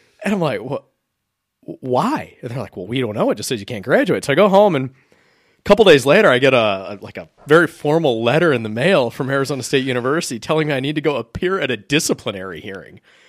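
With an American accent, a man speaks very fast at a fairly high pitch, with very wide pitch swings and big swings in loudness. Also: very clean recording, silent background. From Wisconsin. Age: 30s. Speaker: podcast host. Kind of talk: casual chat.

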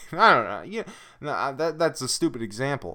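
Very wide pitch swings, vocal fry and a bright, sharp tone at a moderate pace, on a very clean recording with a silent background. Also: man. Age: 20s. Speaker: tabletop gaming podcaster. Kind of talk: casual solo monologue. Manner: halting, many fillers.

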